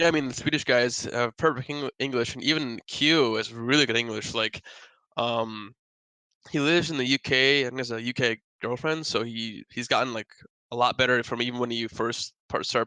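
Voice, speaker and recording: With a Midwestern accent, a man talks at a medium pitch in a bright, sharp tone with fairly even intonation. The sound is dry and close, with no echo. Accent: American Midwest. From US Midwest (Wisconsin). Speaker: pro esports player. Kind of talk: interview. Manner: fast; mumbling.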